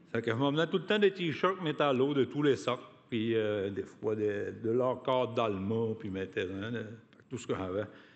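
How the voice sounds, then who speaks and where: A man talks fairly slowly at a medium pitch with lively intonation. He has an ordinary speaking voice. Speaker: union activist, award recipient. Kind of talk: acceptance speech.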